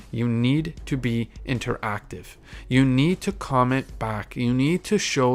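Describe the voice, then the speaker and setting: With music in the background, a man of medium pitch speaks with ordinary pitch variation. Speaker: podcast host. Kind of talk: solo podcast monologue, advice talk. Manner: fast; halting with self-corrections.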